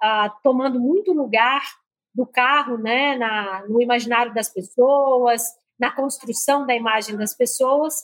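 A woman's high-pitched voice in a strong Minas Gerais accent, fairly slow, with ordinary pitch variation. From Minas Gerais, Brazil. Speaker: marketing executive. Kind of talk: interview.

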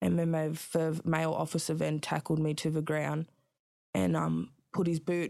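Over a silent background in a very clean recording, a woman with an Australian accent talks at a moderate pace with very even loudness and long, frequent pauses. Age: 20s. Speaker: rapper and artist sharing her story of prison birth. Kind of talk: interview, personal testimony. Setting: in-person studio interview. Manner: soft-spoken, polite.

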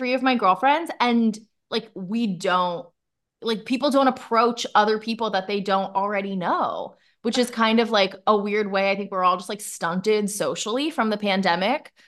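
Speaking in a plain, everyday voice, a woman with fairly high pitch and ordinary pitch variation talks at a moderate pace over a quiet background. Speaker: podcast host. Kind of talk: casual chat.

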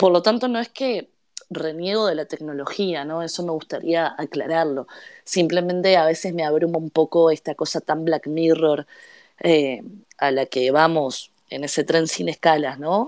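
The speaker has a Uruguayan accent and a fairly slow pace, with ordinary pitch variation. The recording is very clean, with a silent background. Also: woman, fairly low pitch for a woman. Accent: Uruguayan Rioplatense Spanish. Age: 30s. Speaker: novelist. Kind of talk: interview.

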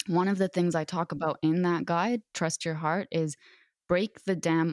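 A woman with an Arabic accent speaks at a fairly slow pace in a fairly low pitch, the sound dry and close with no echo on a very clean recording against a silent background. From Lebanon. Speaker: author. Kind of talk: interview conversation.

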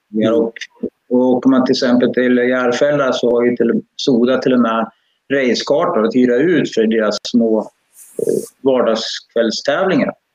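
With an unremarkable speaking voice, a man at medium pitch speaks at a fairly slow pace with fairly even intonation and very even loudness. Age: 60s. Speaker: karting parent. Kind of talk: live-streamed interview.

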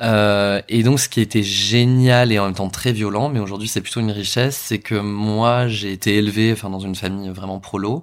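A man speaks at a moderate pace with fairly even intonation. The recording is very clean, and the background is silent. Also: fairly low pitch for a man. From France, Bordeaux suburbs. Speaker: drag queen and performer. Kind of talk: interview. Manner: halting, many hesitations.

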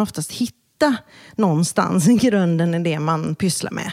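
In a dry, close sound with no echo, a woman talks at a moderate pace. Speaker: brand expert. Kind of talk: casual interview.

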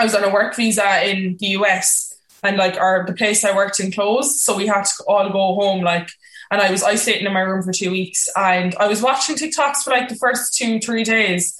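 Speaking with a Cork accent, a woman talks at medium pitch and a fairly quick pace over noticeable background noise. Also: ordinary pitch variation. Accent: Cork Irish. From Cork, Ireland. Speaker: content creator. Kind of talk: casual interview chat.

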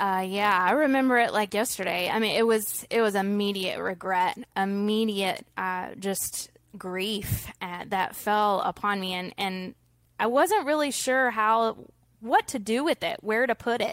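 On a very clean recording with a silent background, a woman speaks at a medium pitch and a fairly slow pace with ordinary pitch variation. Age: 30s. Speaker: pro-life advocate and author. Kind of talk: interview.

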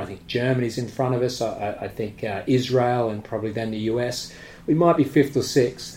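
In an Australian accent, a man speaks at a moderate pace with medium pitch, fairly even intonation and a somewhat breathy quality, with audible room echo. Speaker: martial arts gym owner. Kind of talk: casual interview. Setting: at the gym.

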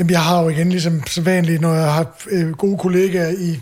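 Noticeable background noise runs under this recording. A man speaks over it at a moderate pace in a high pitch. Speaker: podcast host and chef. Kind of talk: casual chat.

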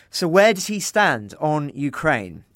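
With an English accent, a man speaks at a fairly slow pace with ordinary pitch variation on a very clean recording with a silent background. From England. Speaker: journalist and interviewer. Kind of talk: interview.

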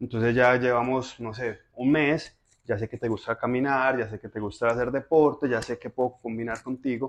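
Speaking at a moderate pace, the man has a medium-pitched voice and fairly even intonation. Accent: paisa. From Colombia, Medellín (Moravia neighbourhood). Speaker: philosopher and personal trainer. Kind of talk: casual interview.

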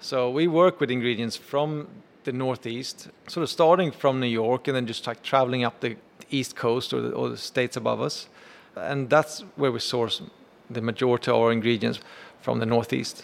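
Speaking at a medium pitch, a man talks with a Swedish accent. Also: ordinary pitch variation, moderate pace. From Sweden. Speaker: chef and restaurant owner. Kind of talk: interview.

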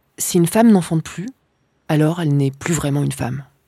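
A woman's dark, mellow tone in a dry, close sound with no echo, on a very clean recording with a silent background. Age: 30s. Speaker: documentary reporter and filmmaker. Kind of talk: scripted narration.

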